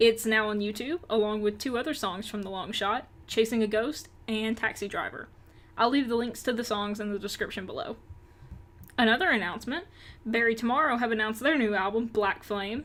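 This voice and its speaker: Upbeat and fairly high-pitched, a woman speaks in a Southern US accent. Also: ordinary pitch variation, fairly quick pace. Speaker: rock music news youtuber. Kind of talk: news roundup vlog. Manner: upbeat, casual.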